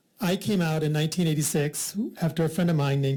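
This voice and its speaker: A man's fairly high, somewhat breathy voice with a dark, mellow tone and an American accent, at a very fast pace. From US Midwest, rural Iowa. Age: 60s. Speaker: member of the public testifying. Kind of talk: legislative hearing testimony. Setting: legislative committee hearing room.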